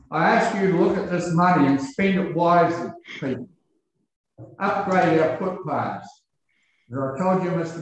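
The man's voice sits high in pitch and moves at a moderate pace. Strong room echo surrounds it. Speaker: member of the public addressing council. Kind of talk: public submission speech. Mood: earnest, complaining. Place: meeting room.

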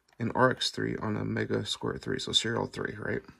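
A man speaks against a quiet background. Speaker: automotive electronics builder, channel owner. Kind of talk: tutorial demonstration. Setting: at home late at night. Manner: casual, self-correcting. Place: workshop. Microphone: phone near.

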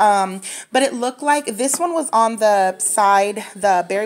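A woman speaks at a fairly slow pace. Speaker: candle hobbyist vlogger. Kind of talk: casual product review chat. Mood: relaxed, enthusiastic. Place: home room. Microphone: phone near.

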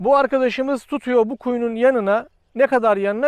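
A man's extremely high, fairly even voice at a moderate pace, with a dry sound with no echo and a quiet background. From Turkey. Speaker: geophysics company owner. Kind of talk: product presentation; promotional explanation to camera. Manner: hesitant fillers. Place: open country.

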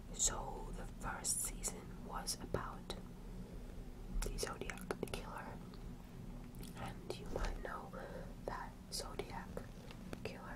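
Soft-spoken and whispering, the voice moves at a very slow pace with long, frequent pauses over loud background noise. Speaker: podcast recommender. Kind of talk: casual vlog chat. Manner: soft close whisper, chatty.

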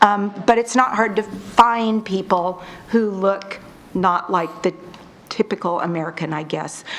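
Noticeable background noise sits behind a woman's voice. She talks at medium pitch and a fairly slow pace. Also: fairly even intonation. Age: 50s. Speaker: resident speaking at public comment. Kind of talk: public comment at city council meeting. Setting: city council meeting. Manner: halting, many fillers.

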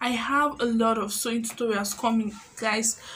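A woman's high-pitched voice with a Nigerian accent. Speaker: YouTuber and tailor. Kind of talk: vlog tutorial talk. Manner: animated. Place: home room. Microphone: phone near.

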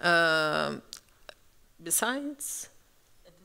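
In a Brazilian accent, a woman with a fairly low pitch and a bright, sharp tone talks at a very slow pace against a quiet background. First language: Portuguese. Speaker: architect, curator; panelist. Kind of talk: panel discussion. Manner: halting, searching for words. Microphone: handheld.

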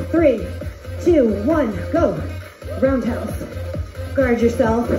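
Over clear music in the background, a woman speaks at a very slow pace with fairly even intonation. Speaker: fitness instructor. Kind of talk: workout cueing. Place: home room. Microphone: camera far.

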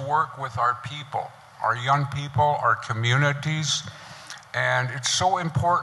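A man with an American accent speaks at a very slow pace with ordinary pitch variation. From US Plains (Northern Arapaho). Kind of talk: panel talk at a conference. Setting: stage with audience. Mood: earnest, heartfelt. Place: hall. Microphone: handheld.

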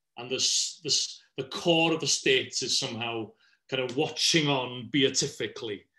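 A man with a Welsh accent, medium pitch, fairly even intonation and a bright, sharp tone. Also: moderate pace. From Wales. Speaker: politics professor. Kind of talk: panel discussion. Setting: live online video call.

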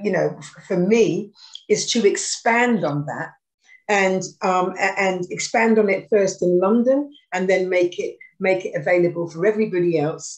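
A woman with a British accent speaks at a fairly slow pace, her pitch medium with ordinary variation. The background is quiet. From UK. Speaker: former pop singer and charity worker; guest. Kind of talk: casual chat. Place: home room. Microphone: video call.

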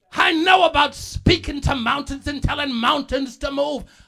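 A man shouts in an animated, bright, sharp tone. His pitch variation is ordinary. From Bahamas. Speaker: pastor. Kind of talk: sermon. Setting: church.

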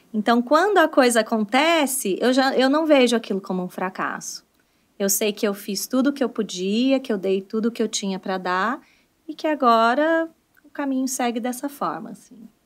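Lively intonation runs through this woman's high voice. She speaks at a moderate pace against a quiet background. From Brazil, countryside. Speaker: English teacher and entrepreneur; English teacher. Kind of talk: casual interview. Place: studio. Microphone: studio mic.

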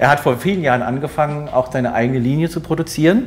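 A man is speaking at a fairly quick pace. His pitch variation is ordinary. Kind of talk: explanatory interview talk. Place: shop. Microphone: lapel.

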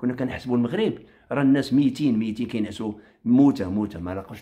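With lively intonation, a man speaks in a dark, mellow tone. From Morocco. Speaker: online commentator; commentator. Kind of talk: political rant on a live stream. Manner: animated. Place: home room. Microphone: phone near.

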